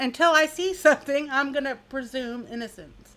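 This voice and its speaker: A woman speaks in a raised, projected voice that is high-pitched, with a bright, sharp tone and lively intonation. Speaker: true crime youtuber. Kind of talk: casual chat.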